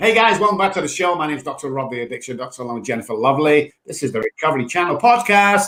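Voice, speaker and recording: With an English accent, a man talks at a very fast pace with lively intonation. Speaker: podcast host, addiction doctor. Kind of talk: casual chat.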